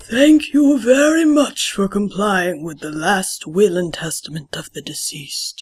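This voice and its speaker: A cartoonish character voice runs at a moderate pace with hardly any pauses. Its pitch sits fairly high and makes very wide swings. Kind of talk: funeral speech. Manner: formal, measured.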